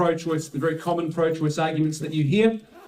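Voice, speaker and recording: Through audible room echo and noticeable background noise, a man talks with a New Zealand accent. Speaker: pro-life speaker. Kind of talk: conference talk. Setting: room with live audience. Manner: halting with fillers and repetitions.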